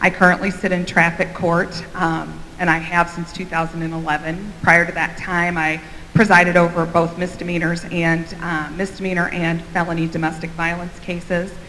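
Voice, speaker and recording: A woman with an American accent, flat monotone delivery and a moderate pace, over noticeable background noise. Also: fairly low pitch for a woman. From Central Illinois. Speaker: judicial candidate. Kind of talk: candidate forum speech.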